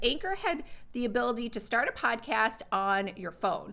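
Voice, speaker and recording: Her voice is bright and sharp, with a fairly high pitch. This woman speaks with lively intonation. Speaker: online content creator and course instructor. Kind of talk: casual livestream chat with viewers. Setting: live stream with chat, home mic. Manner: fast talker.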